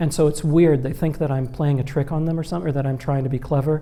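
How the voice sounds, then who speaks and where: Very fast, monotone, flat delivery from a man with a fairly high pitch and a dark, mellow tone. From Qatar. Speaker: novelist. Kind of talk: panel conversation.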